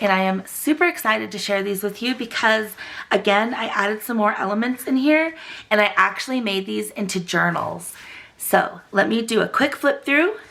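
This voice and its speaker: Lively intonation from a woman at a fairly high pitch and a moderate pace, over noticeable background noise. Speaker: crafting YouTuber. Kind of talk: tutorial. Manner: animated.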